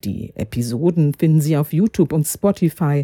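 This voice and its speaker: The woman's voice has a dark, mellow tone, recorded very cleanly with a silent background and a dry, close sound with no echo. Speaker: professor and podcast host. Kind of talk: scripted academic moderation. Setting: home office recording. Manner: formal.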